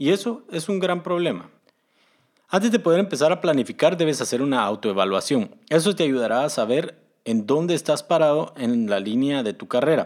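On a very clean recording with a silent background, a man talks at a moderate pace, his fairly high voice making very wide pitch swings. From Guatemala. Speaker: podcast host, software developer. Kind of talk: solo podcast monologue giving career advice.

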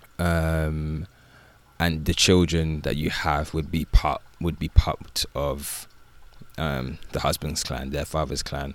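In a very deep, low pitch, a man speaks at a very slow pace with monotone, flat intonation. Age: 20s. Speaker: social worker and author. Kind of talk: personal testimony. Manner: casual, many fillers.

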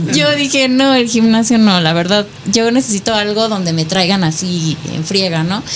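A woman at medium pitch with lively intonation and a moderate pace, amid noticeable background noise and audible room echo. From Nayarit, Mexico. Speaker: fitness competitor. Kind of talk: radio interview.

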